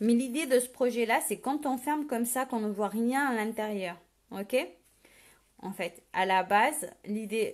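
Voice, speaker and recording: In a very clean recording with a silent background, a woman at fairly high pitch speaks at a fairly slow pace, with ordinary pitch variation and big swings in loudness. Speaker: paper craft demonstrator. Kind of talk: live tutorial. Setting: live video stream. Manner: casual, hesitant with many fillers.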